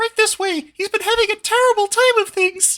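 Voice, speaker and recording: A squeaky, put-on character voice pitched extremely high. It moves at a moderate pace. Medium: actual play. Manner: upbeat, chummy.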